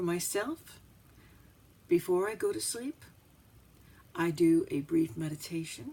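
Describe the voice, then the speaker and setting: A woman at a fairly slow pace, with long, frequent pauses. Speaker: psychic and astrologer. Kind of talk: instructional talk to camera.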